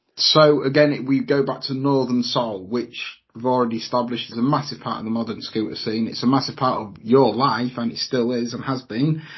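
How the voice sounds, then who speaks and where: A man speaks at a medium pitch and a fairly quick pace. His voice is somewhat breathy, with fairly even intonation. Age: 40s. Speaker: podcast host. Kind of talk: casual chat.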